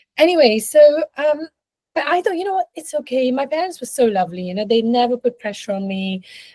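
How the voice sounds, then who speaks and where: Fairly quick and somewhat breathy, a woman speaks in a dark, mellow tone with very wide pitch swings, the sound dry and close with no echo. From India. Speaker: leadership and life coach. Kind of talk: interview conversation.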